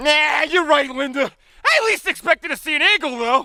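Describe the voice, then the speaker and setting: This put-on character voice sits at a high pitch and moves at a fairly quick pace. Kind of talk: comic overacting. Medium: comedy sketch. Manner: loud, hammy, folksy.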